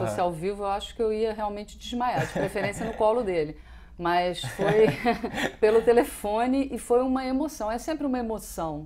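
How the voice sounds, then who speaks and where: Noticeable background noise beneath a woman's fairly high, lively voice at a moderate pace. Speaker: radio announcer / host. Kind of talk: interview answer.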